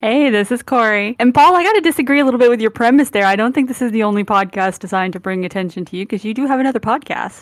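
A woman speaks with fairly high pitch and lively intonation. She goes at a very fast pace with hardly any pauses. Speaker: podcast co-host. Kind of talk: casual chat.

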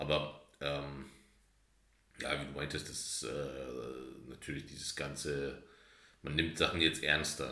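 A very deep, low man's voice with a bright, sharp tone and vocal fry, monotone and flat, very slow with long, frequent pauses, in audible room echo. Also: big swings in loudness. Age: 30s. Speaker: podcast co-host. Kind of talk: casual chat.

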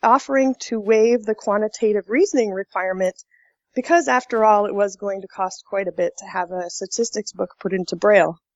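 With an American accent, a woman talks at a moderate pace in a plain, everyday voice with fairly high pitch. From Colorado, US. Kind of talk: interview.

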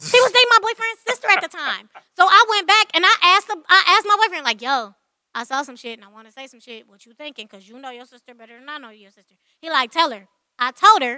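A woman speaks at an extremely high pitch with a bright, sharp tone, very wide pitch swings and a very fast pace. Her voice is raised and projected, with big swings in loudness and a dry, close sound with no echo. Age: 30s. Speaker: podcast co-host. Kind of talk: casual chat. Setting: live stream.

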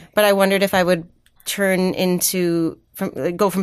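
A woman with fairly low pitch speaks in a monotone, flat intonation. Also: very clean recording, silent background. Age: 30s. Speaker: actor and playwright. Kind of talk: casual chat.

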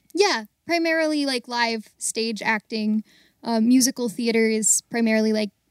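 An unremarkable speaking voice from a woman with an American accent, fairly high pitch and ordinary pitch variation, dry and close with no echo in a very clean recording with a silent background. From US, Baltimore. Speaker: actor and singer, audio theater volunteer. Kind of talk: casual interview.

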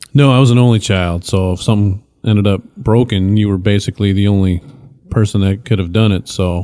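With a Midwestern US accent, a man speaks fairly quickly in a fairly low, dark, mellow voice with fairly even intonation. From Michigan, north end of Flint. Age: 40s. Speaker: improv actor and teacher. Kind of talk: casual chat.

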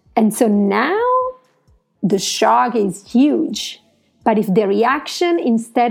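A woman speaks in an Italian accent at a fairly high pitch. Her tone is dark and mellow. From Italy. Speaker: podcast host. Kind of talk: solo podcast monologue. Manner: halting.

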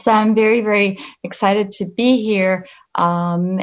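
Speaking at a fairly slow pace, a woman with a slight Polish accent shows ordinary pitch variation. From Poland. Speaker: pharmaceutical company representative. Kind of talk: presentation. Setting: video call.

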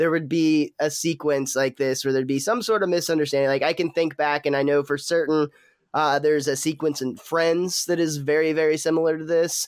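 Recorded very cleanly against a silent background, a man with a plain, everyday voice speaks at a fairly high pitch. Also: fairly quick pace. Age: 30s. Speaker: podcast host reviewing TV episodes. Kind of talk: casual chat.

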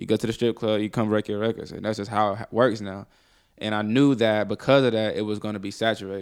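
Very clean and silent in the background, the recording captures a man with a fairly low voice talking very fast in a monotone, flat tone. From Mississippi (Columbus), partly raised in Atlanta. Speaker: rapper. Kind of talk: casual interview. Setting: studio.

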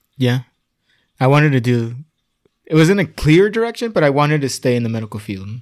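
Talking at a very fast pace yet with long, frequent pauses, a man with a fairly high pitch makes very wide pitch swings on a very clean recording with a silent background. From Tijuana and San Diego area, Mexico/US border. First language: Spanish. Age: 30s. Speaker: improviser and theater worker. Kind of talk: casual interview chat.

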